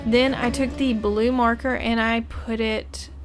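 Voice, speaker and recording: Speaking fairly slowly, a woman's voice carries audible room echo. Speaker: YouTuber, artist. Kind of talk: art tutorial voiceover. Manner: slurred, stumbling over words; hesitant, with many fillers.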